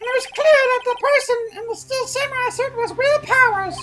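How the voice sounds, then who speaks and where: A squeaky, extremely high-pitched put-on character voice talks at a fairly quick pace over light background noise. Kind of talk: formal courtroom speech. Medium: game stream. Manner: formal, precise.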